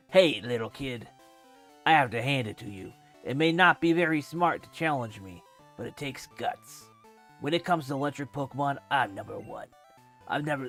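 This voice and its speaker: With faint music in the background, a man does a gruff, put-on character voice at a fairly high pitch and moderate pace, leaving long, frequent pauses. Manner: boastful.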